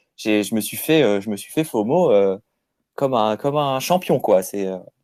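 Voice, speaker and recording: A man with a plain, everyday voice speaks at a moderate pace in a medium pitch with lively intonation. The recording is very clean, with a silent background. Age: 30s. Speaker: crypto app user interviewed. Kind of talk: casual interview.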